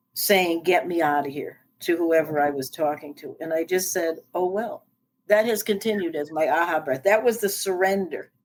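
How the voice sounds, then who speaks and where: A woman's fairly low voice with an American accent, ordinary pitch variation, and a moderate pace, an ordinary speaking voice. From US East Coast. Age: 60s. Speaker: life coach and speaker. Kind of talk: interview.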